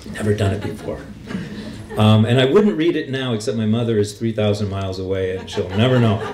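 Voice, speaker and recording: With an American accent, a man speaks at a fairly quick pace and fairly low pitch with ordinary pitch variation. Music plays in the background, and room echo is audible. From US Pacific Northwest, Seattle. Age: 50s. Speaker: poet. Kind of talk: poetry reading. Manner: halting.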